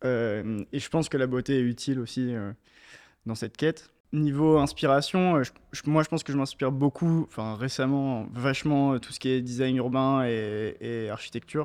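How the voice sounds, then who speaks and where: A man with a normal speaking voice, at a moderate pace, fairly even intonation, over a quiet background. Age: 20s. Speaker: shoe designer and brand founder. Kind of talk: interview.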